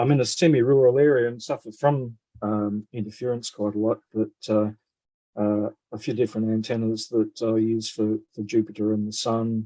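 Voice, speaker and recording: In an Australian accent, a man speaks at a moderate pace and medium pitch with a dark, mellow tone and fairly even intonation, the sound dry and close with no echo. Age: 60s. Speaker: retired physicist and amateur radio astronomer. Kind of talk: video call conference talk. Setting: video call. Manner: halting, many fillers.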